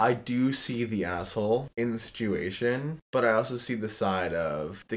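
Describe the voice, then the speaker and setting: A plain, everyday voice from a man, medium in pitch, with ordinary pitch variation and a fairly slow pace. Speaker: college student. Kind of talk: casual chat.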